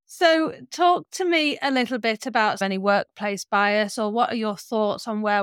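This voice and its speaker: Delivered at a fairly slow pace with lively intonation, this is a normal speaking voice. The recording is very clean and dry, close with no echo, on a silent background. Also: woman. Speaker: podcast host. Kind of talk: interview.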